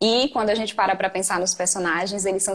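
Against noticeable background noise, a woman talks at a fairly quick pace and medium pitch with fairly even intonation. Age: 20s. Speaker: writer and writing mentor. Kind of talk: casual chat.

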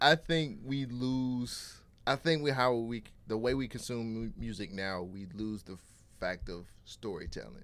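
On a very clean recording with a silent background, a man with an American accent and an unremarkable speaking voice talks at a fairly slow pace and medium pitch, his intonation lively. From California. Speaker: podcast host. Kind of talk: interview. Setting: studio.

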